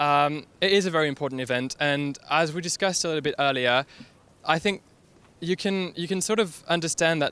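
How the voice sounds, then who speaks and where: A man's fairly high voice with a bright, sharp tone, a French accent, ordinary pitch variation and a fairly quick pace. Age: young. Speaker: staff writer. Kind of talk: street interview. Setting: outdoors.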